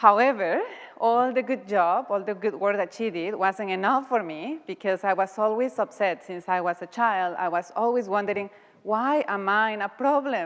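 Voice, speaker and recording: A woman speaks with a Mexican accent at a medium pitch. Her pitch varies in an ordinary way. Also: moderate pace. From Mexico. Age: young. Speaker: guest speaker. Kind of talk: talk to an audience.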